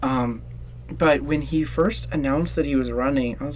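Audible room echo and noticeable background noise surround this man as he talks. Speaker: podcast host. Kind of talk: casual interview chat. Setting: recording in a closet.

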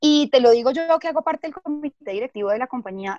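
The sound is dry and close with no echo as a woman speaks fairly quickly. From Colombia, Bogotá. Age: 30s. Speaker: corporate communications manager. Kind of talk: interview. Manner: halting, with frequent repetitions and fillers.

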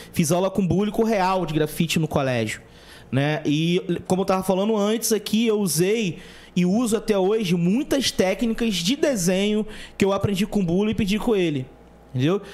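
A man's high voice at a moderate pace, with very even loudness. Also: ordinary pitch variation. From Brazil, São Gonçalo (Rio de Janeiro state). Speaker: podcast host. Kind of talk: casual chat.

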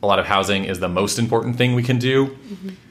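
Bright and sharp in tone, a man speaks at a fairly quick pace. His pitch variation is ordinary. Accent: American. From Washington State, US. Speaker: housing policy expert and author. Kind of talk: interview conversation.

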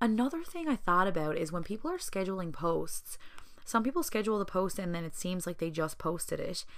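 A woman with a Newfoundland accent, medium pitch, lively intonation, and a fairly quick pace. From Newfoundland, Southern Shore. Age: 20s. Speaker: podcast host and small business owner. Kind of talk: solo podcast monologue. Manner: casual, chatty with fillers.

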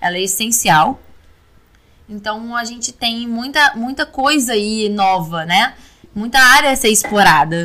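A woman's ordinary speaking voice, fairly high in pitch, with lively intonation at a fairly slow pace. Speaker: oral surgery resident. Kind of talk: interview.

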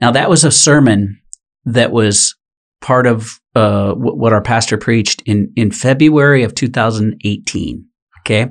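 A man with a plain, everyday voice talks at a medium pitch and a fairly slow pace. His pitch varies in an ordinary way, his loudness stays very even, and the background is quiet. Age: 50s. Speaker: sales executive and podcast guest. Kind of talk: testimony.

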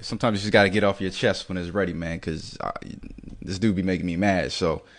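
A man's very deep, low voice with vocal fry, a very fast pace, ordinary pitch variation, and a quiet background. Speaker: podcast co-host. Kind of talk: angry comedic rant, scathing mock-outrage about a player's looks. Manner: loud, fired-up, exaggerated and sarcastic.

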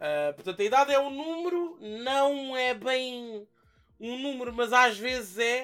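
A man with an extremely high pitch and a bright, sharp tone speaks at a fairly slow pace with lively intonation. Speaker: YouTuber. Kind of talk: casual chat. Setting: bar taproom.

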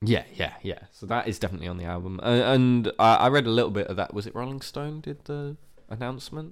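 In a British accent, a man talks at a very fast pace with medium pitch, lively intonation and big swings in loudness. The recording is very clean, with a silent background. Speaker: podcast co-host. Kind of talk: casual chat. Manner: animated.

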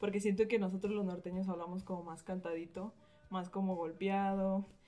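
A woman talks at a very fast pace and a medium pitch. Her tone is dark and mellow, her intonation flat and monotone. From northern Mexico, Torreón, Coahuila. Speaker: podcast co-host, student. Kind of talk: casual chat.

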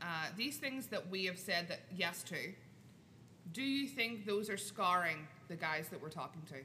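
A woman with a bright, sharp tone and lively intonation speaks with long, frequent pauses. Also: medium pitch for a woman, moderate pace. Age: 20s. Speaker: podcast host.

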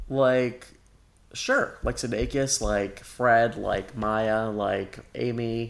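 Very slowly and in a monotone, flat intonation, a man speaks at a medium pitch. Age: 20s. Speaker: podcast co-host. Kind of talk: casual chat.

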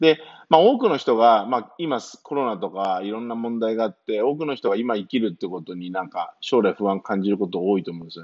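The speaker is a man with a medium pitch. His intonation is lively and his pace fairly quick. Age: 30s. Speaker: personal trainer and training coach. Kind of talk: solo podcast monologue. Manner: many fillers and hesitations.

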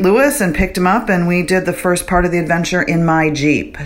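A woman talks at a fairly low pitch. Noticeable background noise can be heard. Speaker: co-host calling in from road trip. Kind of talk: recorded voicemail update.

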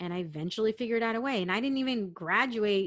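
In an American accent, a woman speaks in an animated tone with ordinary pitch variation. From San Diego, California. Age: 40s. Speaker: corporate professional. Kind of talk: casual interview conversation. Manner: loud, big personality; animated, laughing often.

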